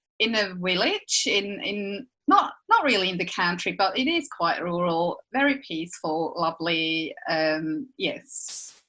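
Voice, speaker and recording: In a Swiss accent, a woman talks very slowly at medium pitch. Her tone is bright and sharp, with lively intonation. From Switzerland. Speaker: podcast co-host. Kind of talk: casual chat.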